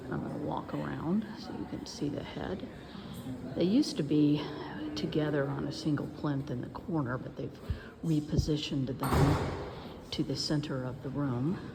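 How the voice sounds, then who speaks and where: Soft-spoken and whispering at a moderate pace with long, frequent pauses, a woman is heard amid noticeable background noise and audible room echo. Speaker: historian. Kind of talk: educational video tour. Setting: museum. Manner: whispering softly; hesitant with many fillers.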